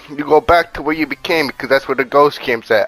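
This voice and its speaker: This man has a plain, everyday voice at a fairly high pitch, with fairly even intonation. He talks at a fairly quick pace, and the sound is dry and close with no echo. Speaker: gaming youtuber. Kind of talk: gameplay tutorial. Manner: casual, profane.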